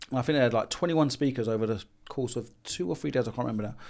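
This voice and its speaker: A man with a London accent talks very fast in a lively, up-and-down intonation, on a very clean recording with a silent background. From London, England. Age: 40s. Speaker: business consultant. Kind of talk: podcast interview. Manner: animated.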